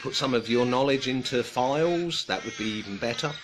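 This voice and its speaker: Noticeable background noise runs under this recording. A man talks at a medium pitch. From United Kingdom. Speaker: woodcarving channel host. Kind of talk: casual livestream chat. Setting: live online stream. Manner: halting, many fillers.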